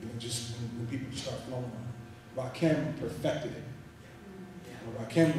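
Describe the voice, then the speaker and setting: Strong room echo and light background noise surround a man's medium-pitched voice with fairly even intonation. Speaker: spoken word poet. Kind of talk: panel discussion answer, casual talk to an audience. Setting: live event at a university hall. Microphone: pa.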